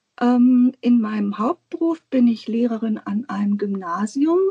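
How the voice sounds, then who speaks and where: A woman speaks at a fairly high pitch and a fairly slow pace, her tone dark and mellow, in a dry, close sound with no echo. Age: 50s. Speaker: guest on a planner podcast, teacher. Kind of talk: casual interview chat. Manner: hesitant, many filler sounds.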